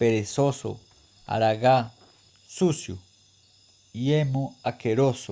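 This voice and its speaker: The man's tone is dark and mellow. He keeps his intonation fairly even. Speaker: reader. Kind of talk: literary reading aloud.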